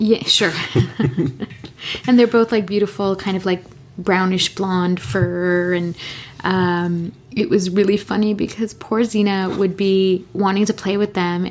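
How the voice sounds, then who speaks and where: Against noticeable background noise, a woman speaks slowly-ish at a fairly slow pace in a medium pitch with monotone, flat intonation. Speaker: podcast co-host. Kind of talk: casual conversation, relaxed podcast talk. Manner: calm, unhurried.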